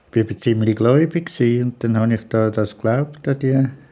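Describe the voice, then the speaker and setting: This man has a medium-pitched voice with a dark, mellow tone. His intonation stays fairly even. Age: 70s. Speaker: retiree. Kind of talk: interview.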